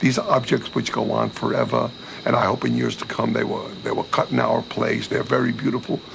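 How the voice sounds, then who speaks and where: Noticeable background noise accompanies a man who talks at a fairly quick pace. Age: 60s. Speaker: diamond dealer and cutting business owner. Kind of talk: documentary interview.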